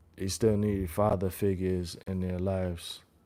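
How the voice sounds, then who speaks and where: Dark and mellow in tone, a man's voice unfolds at a very slow rate. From New York. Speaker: live streamer. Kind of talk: casual live-stream chat. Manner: halting, many repetitions.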